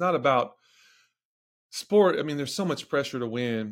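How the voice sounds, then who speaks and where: A very clean recording with a silent background of a man with a Southern US accent. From Tennessee, near Nashville. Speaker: strength and conditioning coach. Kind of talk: podcast interview.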